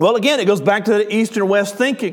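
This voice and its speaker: A man with a Southern US accent talks in an animated tone at a high pitch with ordinary pitch variation, and room echo is audible. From US South. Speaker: pastor. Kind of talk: sermon.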